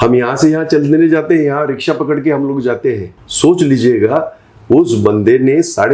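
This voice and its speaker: This man speaks with hardly any pauses. His pitch is fairly high, with ordinary pitch variation. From Mumbai, India. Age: 60s. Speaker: politician. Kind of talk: interview. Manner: animated.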